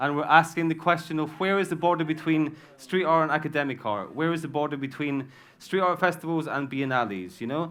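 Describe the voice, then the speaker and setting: Speaking with a British accent, a man talks at a fairly quick pace in a fairly high voice with ordinary pitch variation. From Britain. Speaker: artist. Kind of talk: heated debate. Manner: animated.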